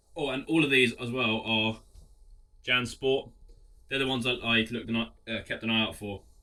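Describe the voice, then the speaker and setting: In an English accent, a man speaks at medium pitch with a bright, sharp tone and fairly even intonation. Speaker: clothing reseller. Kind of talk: casual vlog talk.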